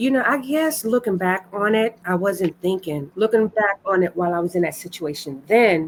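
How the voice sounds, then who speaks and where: A woman's lively intonation with hardly any pauses, against noticeable background noise. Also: medium pitch for a woman, moderate pace. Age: 50s. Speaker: heart attack survivor. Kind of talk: interview answer. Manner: hesitant, casual.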